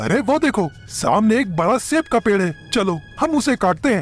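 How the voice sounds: A man uses a cartoonish character voice with a high pitch at a moderate pace. Clear music plays in the background.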